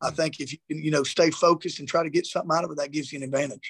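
A man's fairly high pitch with a Southern US accent, in a dry, close sound with no echo. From South Georgia. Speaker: high school football coach. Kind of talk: interview.

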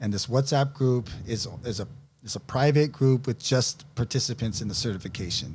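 A man talks at a moderate pace in a somewhat breathy voice of medium pitch. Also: ordinary pitch variation. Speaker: fitness coach. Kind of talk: casual chat.

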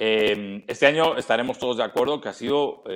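A man with a Castilian accent speaks with lively intonation. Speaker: NFL commentator. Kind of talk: interview.

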